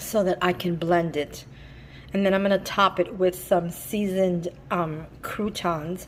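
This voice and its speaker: A woman with a medium pitch talks at a fairly slow pace in an ordinary speaking voice. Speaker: lifestyle vlogger. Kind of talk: cooking vlog.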